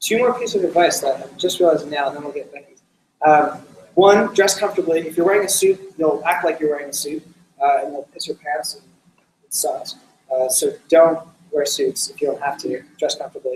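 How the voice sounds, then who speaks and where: A man talking at a fairly quick pace, with big swings in loudness. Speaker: startup community organizer giving a talk. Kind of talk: talk on presentation skills with audience Q&A. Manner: fast; casual with many fillers.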